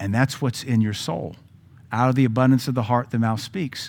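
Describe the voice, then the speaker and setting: At a medium pitch and a fairly quick pace, a man speaks in an animated tone. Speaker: pastor. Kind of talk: sermon. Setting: church. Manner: blunt, animated preaching.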